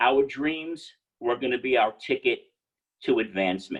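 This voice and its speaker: This man has a New York accent and a fairly high pitch, with vocal fry. His pitch swings very widely. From New York City. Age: 70s. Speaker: entrepreneur. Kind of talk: guest lecture.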